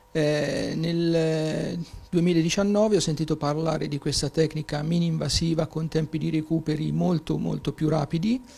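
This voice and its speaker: A man's fairly high voice with a dark, mellow tone, fairly even intonation and a fairly slow pace. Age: 60s. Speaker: patient. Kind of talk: testimony. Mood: calm, pleased. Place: home room. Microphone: handheld.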